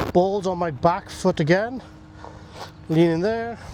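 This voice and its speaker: Moderately paced, high-pitched male speech with ordinary pitch movement, noticeable noise behind it. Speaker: golf coach. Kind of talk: golf instruction demo.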